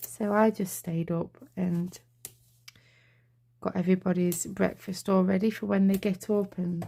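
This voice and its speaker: A woman whispers quietly at a moderate pace. Her voice is somewhat breathy. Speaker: card-making crafter. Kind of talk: tutorial. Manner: quiet, near whisper.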